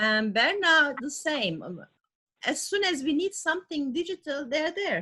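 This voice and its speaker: Speaking at a fairly slow pace, a woman uses very wide pitch swings in a bright, sharp tone. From Turkey. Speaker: service club member. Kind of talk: video call discussion.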